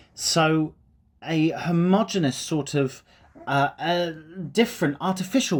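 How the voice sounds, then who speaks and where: This is a man speaking. He has a British accent. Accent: British received pronunciation. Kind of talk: casual talk to camera. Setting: outdoors. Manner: conversational, rambling.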